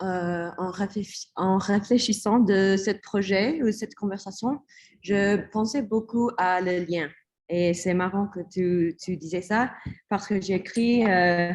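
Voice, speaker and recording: A woman speaks in an English accent at a very slow pace. Her pitch varies in an ordinary way. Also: medium pitch for a woman. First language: English (speaking French). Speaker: artist and researcher. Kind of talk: panel discussion. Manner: hesitant, code-switching.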